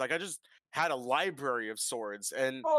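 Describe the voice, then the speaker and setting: A bright, sharp voice speaks at a moderate pace with lively intonation, in a dry, close sound with no echo on a very clean recording with a silent background. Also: man. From suburban area. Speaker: podcast host. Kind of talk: casual chat.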